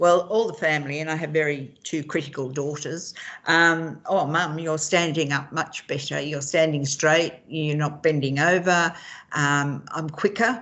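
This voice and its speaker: Speaking at a fairly slow pace, a woman uses a very deep, low pitch and fairly even intonation. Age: 70s. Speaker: patient. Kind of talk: interview.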